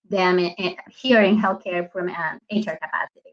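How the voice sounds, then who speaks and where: Speaking in a Spanish accent, a woman keeps her intonation fairly even. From Colombia. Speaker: HR business partner. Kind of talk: panel talk.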